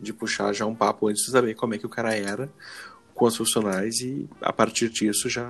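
Using an ordinary speaking voice at medium pitch, a man talks at a fairly quick pace with fairly even intonation. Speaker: podcast host. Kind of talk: casual chat.

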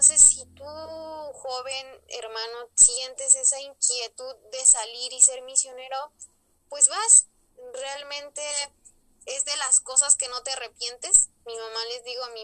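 A woman speaks fairly slowly at a high pitch, her intonation fairly even. Her loudness swings widely. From Mexico, Ajalpan, Puebla. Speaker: former lay missionary. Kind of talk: testimony.

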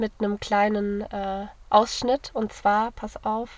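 A woman, fairly high in pitch, at a very slow pace with monotone, flat intonation. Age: 20s. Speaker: university student, podcast co-host. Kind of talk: casual chat. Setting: in a parked car.

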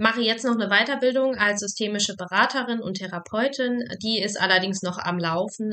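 At a moderate pace, a woman with an ordinary speaking voice talks with ordinary pitch variation. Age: 20s. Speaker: psychologist and podcast host. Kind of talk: casual chat.

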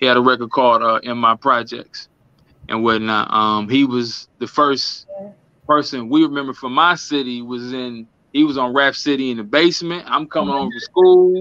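A man speaks at a moderate pace with a medium pitch. His pitch variation is ordinary. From Milwaukee, Wisconsin (US Midwest). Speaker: rapper. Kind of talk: casual chat.

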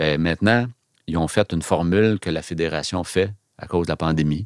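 Recorded very cleanly against a silent background, with a dry, close sound and no echo, a man with a very deep, low pitch talks at a moderate pace with ordinary pitch variation. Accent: Quebec. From Quebec (Laval). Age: 50s. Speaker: photographer and business owner. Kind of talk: interview.

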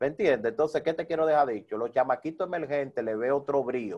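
A man talks with a Dominican accent. His voice is fairly high, with ordinary pitch variation. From Dominican Republic, Santo Domingo (Herrera). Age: 30s. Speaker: salsa DJ and radio presenter. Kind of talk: interview.

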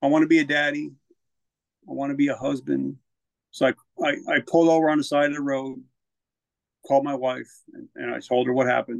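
Here a man speaks in a New Jersey accent at a very fast pace. Long pauses come often. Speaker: military veteran and author. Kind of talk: personal testimony in casual interview.

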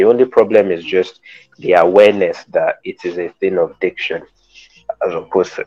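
Moderately paced speech from a man over background music. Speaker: podcast co-host. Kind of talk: casual chat.

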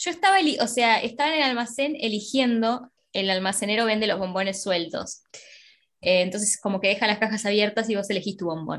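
Against a quiet background, a woman talks at a fairly quick pace in a normal speaking voice, fairly high in pitch with ordinary pitch variation. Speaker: podcast co-host. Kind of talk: casual chat.

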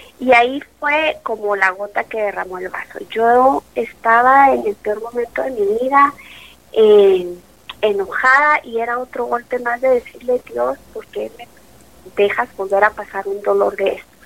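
Over noticeable background noise, a woman speaks at a fairly slow pace with ordinary pitch variation and big swings in loudness. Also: fairly high pitch for a woman. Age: 40s. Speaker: mother sharing life story. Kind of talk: testimony.

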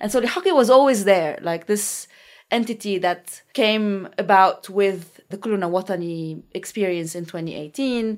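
A woman speaks at a medium pitch in a Lebanese accent, with ordinary pitch variation and a moderate pace. Her loudness swings widely on a very clean recording with a silent background. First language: Arabic. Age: 30s. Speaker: researcher and political activist. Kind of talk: interview.

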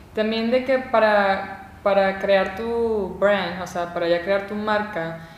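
A woman speaks at a very slow pace with fairly even intonation, her voice carrying audible room echo over noticeable background noise. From Venezuela. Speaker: videographer and content creator. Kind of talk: casual chat.

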